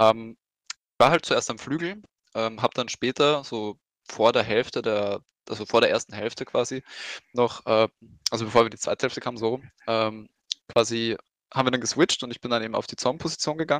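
A man with a medium pitch talks at a fairly quick pace, with long, frequent pauses and big swings in loudness. The sound is dry and close with no echo, and his pitch varies in an ordinary way. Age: 20s. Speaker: esports team captain. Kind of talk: casual chat.

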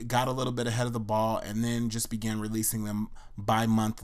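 A man talks in a plain, everyday voice. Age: 30s. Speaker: podcast host. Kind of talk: personal monologue. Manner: casual, conversational.

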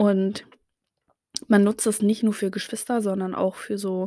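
Over a very clean recording with a silent background, a woman speaks at a medium pitch in a dark, mellow tone. Her intonation is fairly even and her pace fairly slow. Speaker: podcaster. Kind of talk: casual monologue. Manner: hesitant, many filler sounds.

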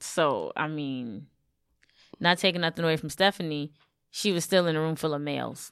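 A woman with a New York accent and a very deep, low voice, at a moderate pace with long, frequent pauses, in a very clean recording with a silent background. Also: ordinary pitch variation. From Brooklyn, New York. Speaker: wrestling podcast host. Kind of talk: casual chat.

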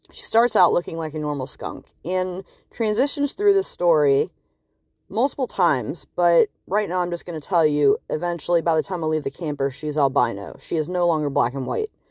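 A woman talks at a fairly quick pace in a plain, everyday voice, pitched fairly low with lively intonation. The recording is very clean, with a silent background. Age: 20s. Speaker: podcast host. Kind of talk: solo monologue. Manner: casual, rambling with fillers.

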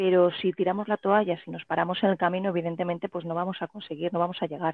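In a normal speaking voice, a woman talks at a fairly low pitch with fairly even intonation. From Spain, Elche (Alicante). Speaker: writer and playwright. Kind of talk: interview.

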